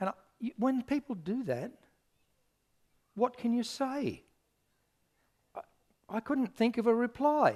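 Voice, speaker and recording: With an Australian accent, a man speaks at an extremely high pitch with ordinary pitch variation. His pace is fairly slow, with long, frequent pauses, and the sound is dry and close with no echo. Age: 60s. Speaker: pastor. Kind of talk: sermon.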